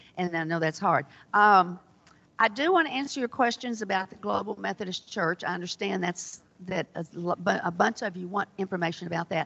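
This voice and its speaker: Vocal fry runs through speech at a fairly quick pace with ordinary pitch variation. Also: woman, medium pitch for a woman. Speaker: church lay speaker on disaffiliation. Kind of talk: church presentation. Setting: church hall with audience, microphone. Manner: conversational, hesitant fillers. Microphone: too quiet, audience asks louder.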